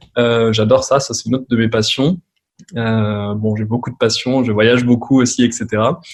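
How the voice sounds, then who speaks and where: A man with a medium-pitched voice talks at a moderate speed, his intonation fairly even. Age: 30s. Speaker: advertising agency owner, former physiotherapist. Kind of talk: podcast interview. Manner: casual, hesitant with many fillers.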